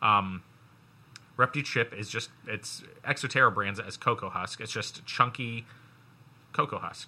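A man speaks at medium pitch and a moderate pace in a bright, sharp, animated, playful tone. His loudness swings widely, and he takes long, frequent pauses. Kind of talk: game show host patter, playing up a segment intro with a mock-dramatic announcer flourish. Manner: animated, teasing, showman-like, with a playful wink to co-hosts.

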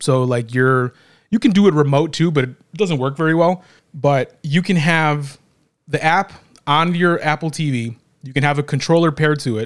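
A man with a normal speaking voice talks at a moderate pace, his fairly high pitch showing ordinary variation. The recording is very clean, with a silent background. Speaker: podcast host. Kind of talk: casual chat. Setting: studio, same room as co-hosts.

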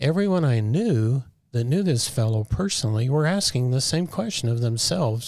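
A somewhat breathy voice at a fairly slow pace. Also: man, very clean recording, silent background. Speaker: military veteran. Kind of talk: interview.

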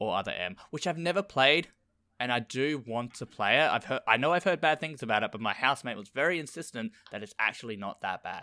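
This speaker has an Australian accent, lively intonation and a bright, sharp tone. The recording is very clean, with a silent background. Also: man, medium pitch for a man. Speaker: podcast host. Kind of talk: casual chat.

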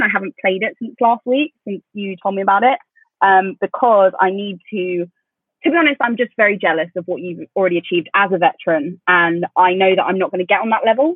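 A woman races along at a very fast pace. Her medium-pitched voice has lively intonation. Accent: southern English. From England, London commuter area. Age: 20s. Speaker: podcast co-host. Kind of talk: casual chat. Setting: video call.

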